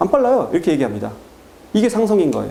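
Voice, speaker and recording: A man speaks with very wide pitch swings. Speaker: math academy director. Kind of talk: parent information talk. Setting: seminar with parents. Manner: fast.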